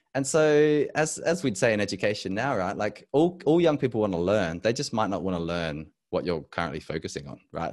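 Hardly pausing, a man with an Australian accent speaks in very wide pitch swings. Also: fairly quick pace. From Adelaide, South Australia. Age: 30s. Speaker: educator and leadership consultant. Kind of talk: casual interview. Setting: video call.

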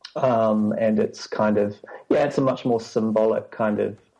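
Flat and monotone, a man with a New Zealand accent speaks at a medium pitch in a dark, mellow tone. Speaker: church staff member. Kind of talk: casual interview chat.

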